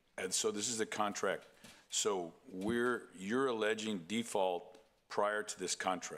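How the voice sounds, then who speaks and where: A man in a normal speaking voice, fairly low-pitched, with fairly even intonation at a fairly slow pace. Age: 60s. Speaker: board member. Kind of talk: public meeting debate.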